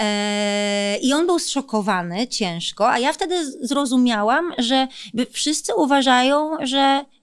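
Against a quiet background, the speech moves at a very slow pace with very wide pitch swings and very even loudness. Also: woman. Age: 30s. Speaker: politician. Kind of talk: interview. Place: studio. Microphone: studio mic.

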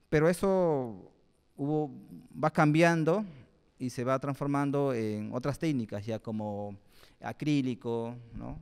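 Against a quiet background, a man with a medium pitch talks at a very slow pace, leaving long, frequent pauses while his intonation stays lively. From Peru, Lima (born in Pucallpa, Ucayali); Lima. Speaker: guest. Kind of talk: public talk. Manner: halting, with frequent fillers. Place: hall. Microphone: handheld.

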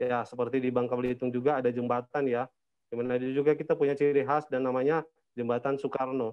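Over a quiet background, a man talks at a very fast pace in a flat, monotone way. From Manado, North Sulawesi; North Sulawesi. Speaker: tour operator; presenter. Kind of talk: online presentation. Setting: video call. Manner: halting, many fillers. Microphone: video call.

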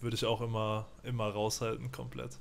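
The voice keeps fairly even intonation over light background noise. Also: man. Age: 20s. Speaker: streamer; guest. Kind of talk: casual chat. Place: home room. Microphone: studio mic.

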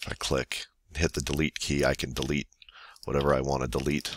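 Quiet and dry with no echo, a man's very deep, low voice has a bright, sharp tone and vocal fry. His intonation stays fairly even. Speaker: teacher. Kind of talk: software tutorial screencast. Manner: quiet, monotone. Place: home room.

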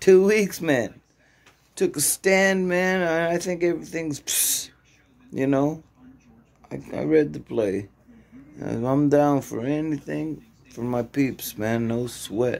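This man speaks at a very slow pace with long, frequent pauses, his fairly high pitch carried by lively intonation. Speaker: vlogger in recovery. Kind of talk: casual vlog. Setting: early morning, self-recorded video. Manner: casual, rambling slang.

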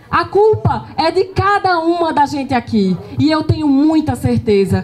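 Speaking fairly slowly, a woman keeps her tone animated. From Pernambuco, Brazil. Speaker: party leader; panelist. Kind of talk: political speech at panel event. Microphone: handheld.

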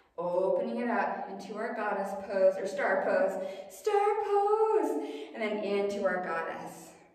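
A woman at a fairly slow pace, quiet background, strong room echo. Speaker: yoga instructor. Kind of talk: guided yoga class, calm cueing of poses and breath. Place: home room. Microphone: camera far.

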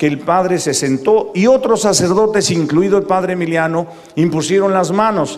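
This is a man's voice. His pitch is high. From Mexico. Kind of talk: preaching talk to live audience. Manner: animated. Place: stadium. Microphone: handheld.

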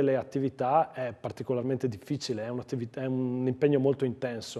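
At a fairly quick pace, a man with a Trentino accent speaks in a dark, mellow tone over a quiet background. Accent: Lombard-sounding Giudicarie. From Trentino, Giudicarie (Storo area); Trentino, Italy. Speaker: provincial councillor; council guest. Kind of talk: TV interview; interview answer. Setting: studio. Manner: hesitant, with fillers. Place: studio. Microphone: lapel.

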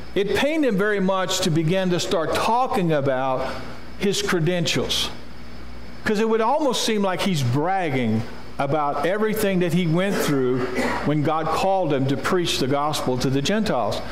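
Light background noise and audible room echo around a man talking at a moderate pace. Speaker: preacher. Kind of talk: sermon. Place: church. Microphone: podium.

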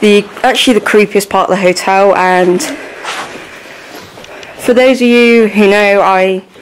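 A woman's fairly slow, fairly even speech over light background noise. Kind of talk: casual vlog narration. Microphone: phone near.

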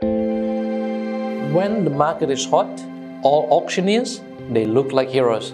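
Clear music plays in the background as a man speaks with lively intonation. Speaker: real estate agent. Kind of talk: corporate explainer to camera. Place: office. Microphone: lapel.

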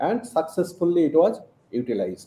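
A man's fairly high-pitched voice with a dark, mellow tone, fairly slow, ordinary pitch variation, and audible room echo. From India. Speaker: professor and quantum photonics researcher. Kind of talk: interview. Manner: hesitant with fillers. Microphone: video call.

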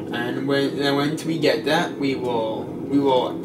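A man's voice with ordinary pitch variation against loud background noise. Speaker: gamer commentating. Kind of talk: casual gameplay commentary. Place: home room.

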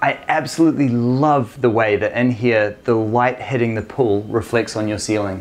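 A man with an Australian accent speaks at a moderate pace with fairly even intonation. He hardly pauses at all. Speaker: home tour video host. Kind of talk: home tour interview. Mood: enthusiastic, admiring. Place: home room.

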